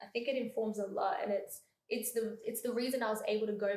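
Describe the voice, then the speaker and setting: Speaking at a fairly quick pace with an Australian accent, a woman is heard with audible room echo. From Melbourne, Australia. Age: 20s. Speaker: freelance host and creative. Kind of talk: podcast interview. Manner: hesitant, many fillers.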